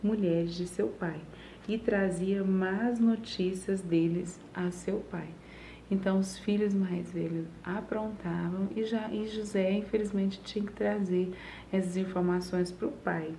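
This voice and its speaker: Soft-spoken and very slow, a woman talks at a medium pitch in a flat monotone, with audible room echo. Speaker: women's Bible reading host. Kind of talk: Bible reading with commentary. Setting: at home at night. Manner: soft-spoken, speaking quietly.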